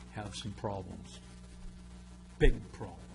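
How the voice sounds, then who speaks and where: A man with a fairly low pitch speaks in a space with audible room echo. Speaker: resident speaking at public comment. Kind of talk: public comment. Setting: council chambers. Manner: loud.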